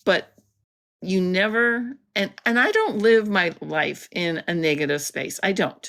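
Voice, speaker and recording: A fairly slow pace with ordinary pitch variation, on a very clean recording with a silent background. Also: woman. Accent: Canadian. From Canada, Alberta. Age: 60s. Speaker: artist with multiple sclerosis. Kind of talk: interview. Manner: halting.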